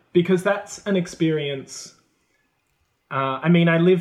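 Speaking with an Australian accent, a man shows ordinary pitch variation. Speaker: former high school English and drama teacher. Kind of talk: casual chat.

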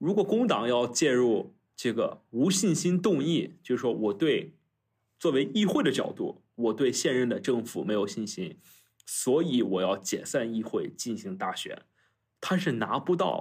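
In a very clean recording with a silent background, a man with a fairly high pitch talks at a fairly slow pace with very wide pitch swings. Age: 20s. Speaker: student and former political staffer. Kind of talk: casual chat. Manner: frequent fillers and hesitations.

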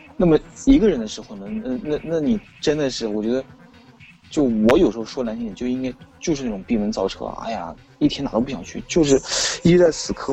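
A man talking at a fairly quick pace with very wide pitch swings, against noticeable background noise. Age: 30s. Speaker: experimental electronic musician. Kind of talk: casual chat. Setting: online call.

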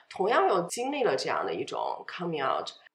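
A woman talks in a high pitch. Her voice swings very widely up and down. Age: 30s. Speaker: podcast guest sharing divorce story. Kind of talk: personal interview.

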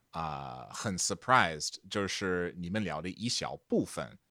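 This very clean recording with a silent background carries a voice with an English accent. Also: man. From Texas. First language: English (speaking Chinese). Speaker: podcast editor and translator. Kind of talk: casual chat.

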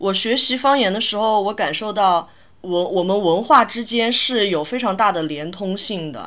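A woman with an unremarkable speaking voice, medium pitch, lively intonation and a moderate pace. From Sichuan, China. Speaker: podcast host. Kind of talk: casual chat.

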